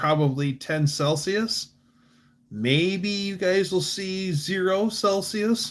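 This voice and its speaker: A man talks very slowly at a high pitch, with ordinary pitch variation. The recording is very clean, with a silent background. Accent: American. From Michigan, US Midwest. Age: 40s. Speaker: livestreamer, car hobbyist. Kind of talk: casual livestream chat. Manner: casual, halting with fillers.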